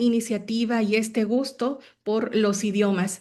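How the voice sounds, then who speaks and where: In a Mexican accent, the speaker goes at a very slow pace with monotone, flat intonation. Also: woman. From Mexico, Hidalgo (Huasteca). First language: Nahuatl (speaking Spanish). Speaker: language teacher and school founder. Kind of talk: online talk. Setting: video call. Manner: halting, many fillers.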